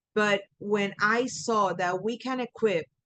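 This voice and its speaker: A woman talks at a medium pitch with ordinary pitch variation and a Puerto Rican accent. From Puerto Rico. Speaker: coach and trainer. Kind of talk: webinar presentation. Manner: animated.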